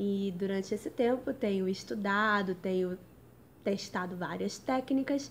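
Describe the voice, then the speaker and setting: A somewhat breathy woman's voice at a medium pitch, with ordinary pitch variation and very even loudness. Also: fairly slow pace, very clean recording, silent background. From Brazil, Rio de Janeiro. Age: 20s. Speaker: lawyer studying for civil service exams. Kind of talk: live stream study tips talk. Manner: casual, chatty.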